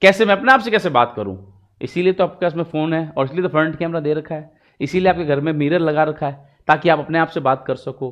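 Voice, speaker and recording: This man has a Rajasthani accent. His pitch is fairly high, with ordinary variation. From Rajasthan, India (Marwari). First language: Marwari (speaking Hindi). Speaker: English teacher. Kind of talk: tutorial. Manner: code-switching Hindi and English.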